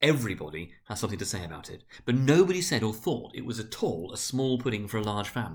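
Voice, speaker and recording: A man's voice with vocal fry and very wide pitch swings. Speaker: senior school director reading aloud. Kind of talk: dramatic reading of a classic novel. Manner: narrating, measured storyteller delivery.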